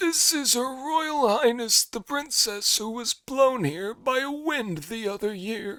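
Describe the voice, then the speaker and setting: Putting on a character voice, a man speaks at a fairly slow pace with an extremely high pitch and lively intonation. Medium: read story. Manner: deferential.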